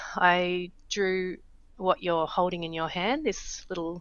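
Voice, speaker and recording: An Australian accent in a woman's voice of medium pitch. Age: 40s. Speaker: startup founder. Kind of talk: interview.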